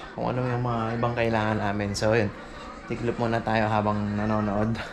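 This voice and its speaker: A man speaks in a flat monotone at a moderate pace. The room echoes audibly, and background noise is noticeable. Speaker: vlogger. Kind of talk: casual vlog talk.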